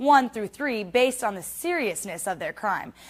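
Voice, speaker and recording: At a fairly quick pace, a woman with a fairly high pitch uses an unremarkable speaking voice. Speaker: television news reporter. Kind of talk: TV news reporter narration.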